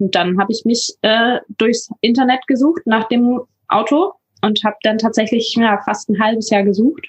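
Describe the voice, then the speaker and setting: A woman speaks at a moderate pace in a somewhat breathy voice, with very even loudness and a dry, close sound with no echo. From northern Germany, near Hamburg. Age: 20s. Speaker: paramedic and van traveller. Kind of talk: interview.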